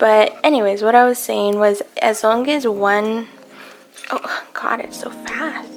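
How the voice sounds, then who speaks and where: With music in the background, a woman speaks at a very slow pace and fairly high pitch, her loudness swinging widely. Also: ordinary pitch variation. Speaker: houseplant content creator. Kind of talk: casual talk to camera.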